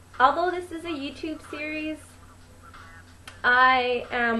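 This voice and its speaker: A woman with a high pitch speaks in a raised, projected voice at a fairly slow pace, her pitch varying in an ordinary way. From US. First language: Spanish. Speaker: vlogger. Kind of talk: personal vlog monologue. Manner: casual, hesitant with fillers.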